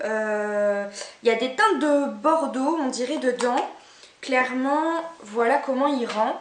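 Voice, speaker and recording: A woman's high voice with lively intonation at a very slow pace, amid noticeable background noise and audible room echo. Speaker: beauty and fashion vlogger. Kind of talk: haul video, casual talk to camera. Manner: casual, hesitant with many fillers.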